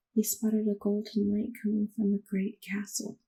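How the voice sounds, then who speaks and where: Fairly slow in pace, the speaker is soft-spoken. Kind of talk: bedtime story reading. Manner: soft-spoken ASMR.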